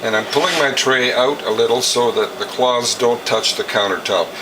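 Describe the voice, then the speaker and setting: A man speaks with medium pitch at a moderate pace. Background noise is noticeable. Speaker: juicer demonstrator, juicer service business owner. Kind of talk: tutorial.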